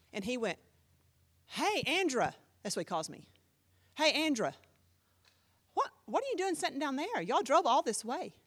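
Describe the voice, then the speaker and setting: A woman speaks at a moderate pace in a high, animated voice with very wide pitch swings. She leaves long, frequent pauses. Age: 50s. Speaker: pastor, Bible class teacher. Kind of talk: Bible class teaching. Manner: animated, conversational.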